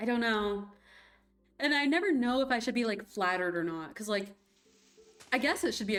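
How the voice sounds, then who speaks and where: A fairly quick pace and lively intonation, with music in the background. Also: woman. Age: 20s. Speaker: vtuber streamer. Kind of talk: casual live stream chat.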